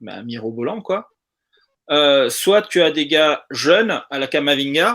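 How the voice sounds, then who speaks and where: With lively intonation and big swings in loudness, a man speaks at a very slow pace. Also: fairly high pitch for a man. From South America. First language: Spanish (speaking French). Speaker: football fan participant. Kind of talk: casual live discussion.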